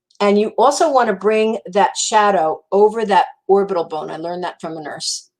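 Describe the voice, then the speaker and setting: A woman speaks with a New Jersey accent. Her pitch is medium. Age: 60s. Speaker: makeup consultant. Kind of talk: makeup tutorial livestream. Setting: live stream. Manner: casual, chatty.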